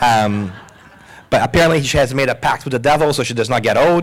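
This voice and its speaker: With noticeable background noise behind him, a man speaks in an animated tone at a very fast pace, his fairly high pitch carried by lively intonation. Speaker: podcast host and moderator. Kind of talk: live panel discussion. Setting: stage with live audience.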